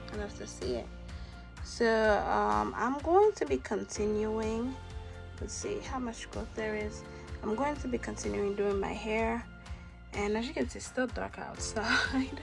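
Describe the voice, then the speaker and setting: A woman at a fairly slow pace with long, frequent pauses and music in the background. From Haiti. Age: 20s. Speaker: hair care vlogger. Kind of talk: casual talk to camera.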